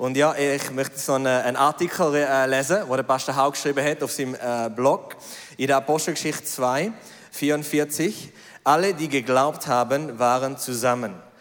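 This man's pitch is fairly high, with ordinary variation, at a moderate pace. It is a normal speaking voice. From Switzerland, Zurich. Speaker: business executive and missionary. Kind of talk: reading aloud.

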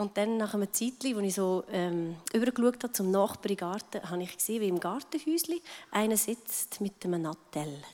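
A woman's normal speaking voice at a medium pitch and moderate pace. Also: lively intonation. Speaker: pastor's wife. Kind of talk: testimony.

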